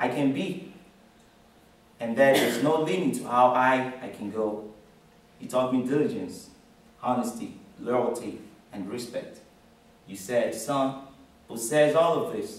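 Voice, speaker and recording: In a room with audible echo, a man talks at a fairly slow pace with ordinary pitch variation and long, frequent pauses. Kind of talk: formal tribute speech. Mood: earnest, grateful. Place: classroom. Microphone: camera far.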